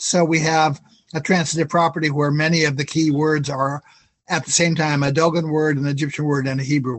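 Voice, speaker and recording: At a fairly quick pace, a man talks in a somewhat breathy, fairly high-pitched voice with monotone, flat intonation. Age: 60s. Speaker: independent researcher and author. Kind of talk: Q&A discussion. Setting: video call.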